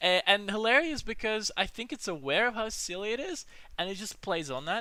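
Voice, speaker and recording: A man speaks in a raised, projected voice at a high pitch. His tone is bright and sharp, and his pace is moderate. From Australia. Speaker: movie vlogger. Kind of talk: casual monologue. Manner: halting; animated.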